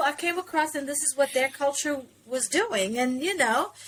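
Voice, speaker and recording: In an American accent, a woman projects a raised voice with lively intonation and a bright, sharp tone. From South Africa. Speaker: interview guest, actor. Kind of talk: casual interview conversation.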